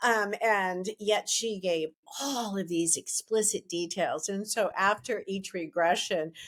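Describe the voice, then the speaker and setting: A woman speaks in a plain, everyday voice at a medium pitch. Her pace is fairly slow, and her intonation is lively. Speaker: past-life regression therapist; podcast host. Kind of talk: podcast interview introduction.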